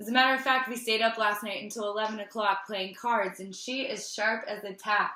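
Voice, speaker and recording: With an unremarkable speaking voice, a woman talks at a fairly quick pace in a medium pitch. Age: 30s. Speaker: wellness host. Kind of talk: casual interview host talk.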